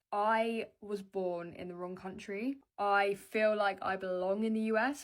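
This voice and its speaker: Her pitch rises and falls in an ordinary way. She is a woman whose voice sits at a medium pitch. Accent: British. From UK. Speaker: social media creator. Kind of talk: casual vlog monologue. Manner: animated.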